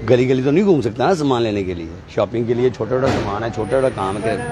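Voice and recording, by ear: With a slightly mellow tone, a man speaks at a fast pace and with lively intonation against faint background noise. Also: medium pitch for a man.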